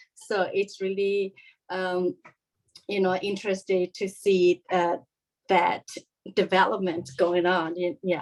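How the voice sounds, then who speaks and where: A woman's medium-pitched, monotone voice with a Korean accent, very slow with long, frequent pauses. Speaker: parent on panel. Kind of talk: panel discussion. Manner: halting.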